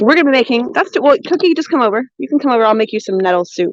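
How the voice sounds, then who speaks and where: Loud and with very wide pitch swings, a woman speaks with an American accent in a dry, close sound with no echo. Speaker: cooking and foraging livestreamer. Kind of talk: live stream chat. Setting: outdoors. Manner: animated.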